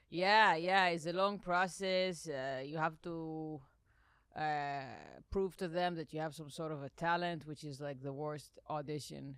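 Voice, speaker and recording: With an Israeli accent, a woman speaks at a fairly slow pace in a very deep, low pitch, her intonation fairly even and her loudness swinging widely. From Israel, Jerusalem. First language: Hebrew. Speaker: comedian. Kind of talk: casual chat.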